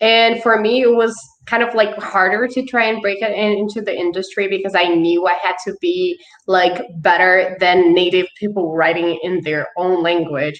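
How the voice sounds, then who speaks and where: Noticeable background noise sits behind a woman with a non-native accent, medium pitch, ordinary pitch variation and a moderate pace. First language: not English. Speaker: author. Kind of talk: panel discussion.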